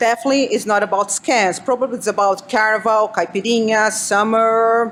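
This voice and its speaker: A woman in a Brazilian Portuguese accent speaks at a moderate pace, her fairly high pitch held in a monotone, flat intonation. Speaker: cybersecurity analyst. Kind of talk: conference talk.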